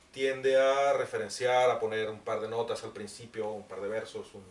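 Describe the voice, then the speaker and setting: Noticeable background noise runs beneath a man speaking at a moderate pace. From Mexico. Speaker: writer moderating book presentation. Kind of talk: book presentation talk. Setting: bookshop event with audience.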